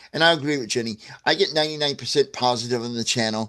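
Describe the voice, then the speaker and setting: Speaking at a fairly quick pace, a man uses a normal speaking voice with a medium pitch. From US Midwest, St. Louis, Missouri. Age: 60s. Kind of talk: livestream talk to viewers. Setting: livestream. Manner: casual, with frequent fillers and restarts.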